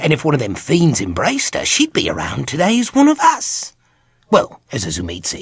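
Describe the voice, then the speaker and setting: A man puts on a character voice and talks at a moderate pace. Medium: video game. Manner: cocky, jokey, slangy.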